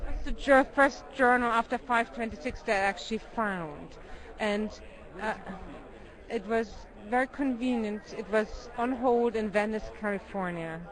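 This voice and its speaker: A woman with a German accent talks at a fairly slow pace, her pitch fairly high. Her pitch varies in an ordinary way, and crowd noise is heard in the background. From Germany. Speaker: documentary filmmaker. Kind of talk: interview. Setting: film festival.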